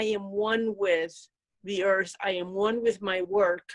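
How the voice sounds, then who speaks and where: Speaking at a fairly slow pace, a woman with a medium pitch keeps a monotone, flat intonation. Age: 60s. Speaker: rune practitioner and guest. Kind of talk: casual spiritual conversation.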